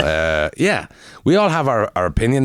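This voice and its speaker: A man with a Quebec accent is heard on a very clean recording with a silent background. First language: French. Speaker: comedian. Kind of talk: casual chat. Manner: halting.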